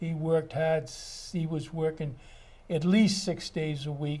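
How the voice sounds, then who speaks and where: A man with a fairly high pitch and a dark, mellow tone speaks in an American accent with fairly even intonation. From Massachusetts, Wellesley. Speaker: retired builder and architect. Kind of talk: oral history interview. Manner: halting.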